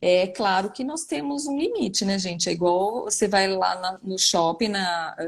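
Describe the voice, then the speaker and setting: The speaker is a woman with a medium pitch. Her voice varies in pitch in an ordinary way. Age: 40s. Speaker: neuropsychologist. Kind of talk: live online interview answering viewer questions. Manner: hesitant, many fillers.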